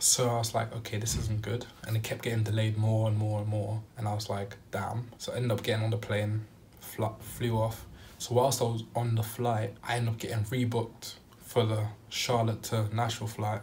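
Over light background noise, a man talks at a fairly quick pace in a monotone, flat way. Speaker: vlogger. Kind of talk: casual storytime vlog chat. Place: home room. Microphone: phone near.

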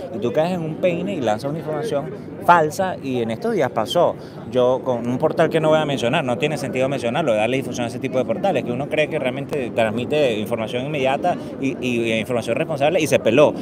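A man speaks at a very fast pace with a fairly high pitch. The sound is dry with no echo, and there is noticeable background noise. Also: ordinary pitch variation. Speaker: street livestreamer and news host. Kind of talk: live event broadcast, street reporting. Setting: outdoors at a protest rally. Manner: improvised, filler-laden, halting. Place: street. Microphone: handheld.

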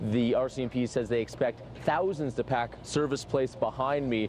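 The speaker is a man talking at a moderate pace with ordinary pitch variation. His sound is dry with no echo, over light background noise. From Canada. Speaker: news reporter. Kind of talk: live TV news reporting and reporter packages.

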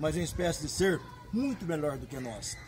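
Light background noise is heard as a man talks at a moderate speed. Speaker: rodeo announcer. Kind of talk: event announcer promo. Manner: energetic, enthusiastic. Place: street. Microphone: phone near.

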